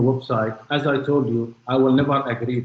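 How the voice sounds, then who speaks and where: A somewhat breathy male voice of medium pitch, with a non-native accent. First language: not English. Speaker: witness in court. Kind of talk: cross-examination testimony.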